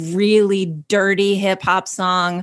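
The voice has a monotone, flat intonation and an American accent at a very slow pace. The recording is very clean with a silent background. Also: woman. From US Midwest. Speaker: comedian and actor. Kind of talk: casual chat.

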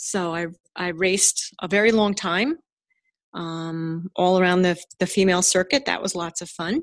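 A woman with an American accent and a normal speaking voice talks at a moderate pace and medium pitch, with fairly even intonation. The recording is very clean with a silent background, and the sound is dry and close with no echo. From New Jersey. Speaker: dentist and hobby woodworker. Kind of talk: casual interview.

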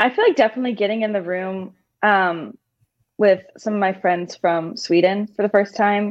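A woman talks at a moderate pace with ordinary pitch variation. It is an ordinary speaking voice. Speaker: singer-songwriter. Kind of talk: casual interview chat.

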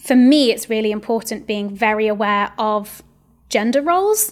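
Over a very clean recording with a silent background, a woman speaks at a fairly high pitch. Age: 30s. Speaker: sex and relationships educator. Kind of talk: casual chat. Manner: hesitant with many fillers.

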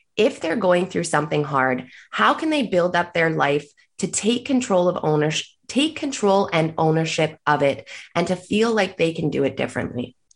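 This woman has an ordinary speaking voice, fairly low in pitch. She talks at a moderate pace with lively intonation. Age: 20s. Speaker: podcast host. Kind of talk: interview.

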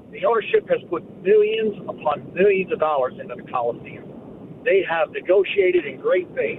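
Noticeable background noise sits under the voice. The delivery has lively intonation at a moderate pace. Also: man, high pitch for a man. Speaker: sports radio caller, longtime fan. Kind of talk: call-in fan opinion. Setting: phone call.

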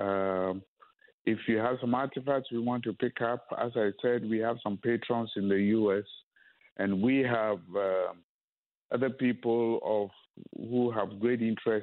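Keeping his loudness very even, a man with a medium pitch speaks at a fairly slow pace with fairly even intonation. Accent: Ghanaian. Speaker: museum founder. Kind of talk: radio interview. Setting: phone call.

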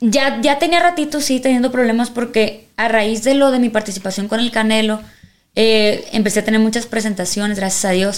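In an ordinary speaking voice, a woman talks at a moderate pace with fairly high pitch, ordinary pitch variation and very even loudness. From Mexico, Sinaloa (Culiacán). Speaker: singer. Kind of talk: casual interview chat.

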